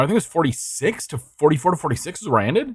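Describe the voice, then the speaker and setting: A man speaks with very wide pitch swings in a dry, close recording with no echo. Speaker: vtuber streamer. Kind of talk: casual live stream chat. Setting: live stream at home. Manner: loud when excited; halting, many restarts. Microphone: studio dynamic mic mounted far from mouth, high gain.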